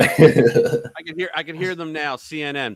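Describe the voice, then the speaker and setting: Recorded dry and close with no echo, a man with a fairly high pitch speaks at a fairly slow pace. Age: 60s. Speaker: political commentary host. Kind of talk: casual chat.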